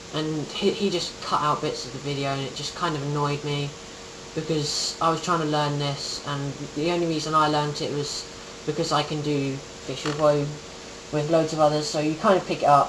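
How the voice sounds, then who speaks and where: Speech at a moderate pace comes through with clearly audible background noise. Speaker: gaming guide creator. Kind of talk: tutorial. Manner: hesitant, many ums.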